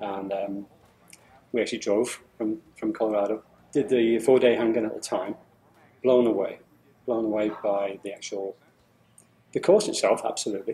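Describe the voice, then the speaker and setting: A man with a British accent talks at a moderate pace in a medium pitch with a dark, mellow tone. He leaves long, frequent pauses. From England. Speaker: engineer. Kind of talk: testimonial interview. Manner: halting, many fillers and repetitions.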